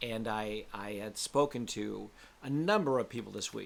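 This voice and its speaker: This man has a medium pitch with ordinary variation. It is an ordinary speaking voice. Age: 60s. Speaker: spiritual coach. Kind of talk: casual monologue. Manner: candid conversational, swearing-laced.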